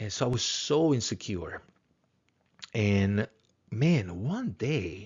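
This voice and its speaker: Somewhat breathy, a man with a Spanish accent speaks at a very slow pace. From Latin America. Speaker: philosophy teacher. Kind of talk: lecture. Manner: halting, many repetitions.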